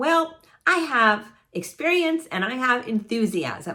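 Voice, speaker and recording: A woman sounds animated, her pitch swinging very widely. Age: 60s. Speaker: travel vlogger. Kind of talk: casual vlog monologue. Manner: halting.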